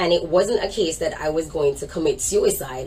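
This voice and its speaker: Noticeable background noise sits under a woman with a Jamaican accent. She talks at a moderate pace with fairly even intonation. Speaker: minister and organization leader. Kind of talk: interview testimony.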